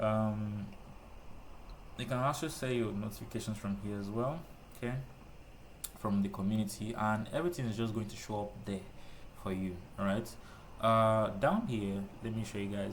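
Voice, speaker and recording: Fairly low in pitch, a man speaks with fairly even intonation amid audible room echo. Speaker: trading tutorial youtuber. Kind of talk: screen-recorded tutorial. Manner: fast; casual, with many fillers like uh and okay.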